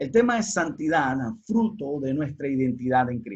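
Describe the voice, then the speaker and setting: This man has a Panamanian accent and a somewhat breathy voice. His intonation is lively. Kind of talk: online teaching talk.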